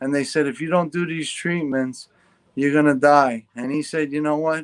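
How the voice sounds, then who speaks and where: With a New York accent, a man speaks at a fairly high pitch on a very clean recording with a silent background. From New York, Long Island. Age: 40s. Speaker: guest with Parkinson's disease. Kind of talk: casual interview chat. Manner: animated.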